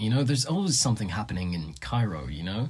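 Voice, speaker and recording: His voice sounds somewhat breathy. The man's pitch swings very widely. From Egypt. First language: Arabic. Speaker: student guest. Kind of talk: casual chat.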